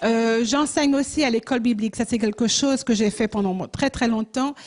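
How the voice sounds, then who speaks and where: This voice has a dark, mellow tone and ordinary pitch variation. Behind it, the background stays quiet. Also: woman. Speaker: missionary and pastor. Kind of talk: church mission presentation. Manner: halting, many hesitations.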